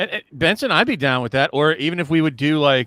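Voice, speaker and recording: In a very clean recording with a silent background, a man speaks at a moderate pace in a fairly high voice with a bright, sharp tone. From US South (Virginia). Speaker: podcast co-host. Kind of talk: casual chat. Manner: halting, many false starts and repeats.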